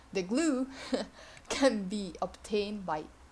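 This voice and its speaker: A woman with a non-native accent and vocal fry speaks with ordinary pitch variation. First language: not English. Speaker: video game guide creator. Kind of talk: tutorial. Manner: slow; halting.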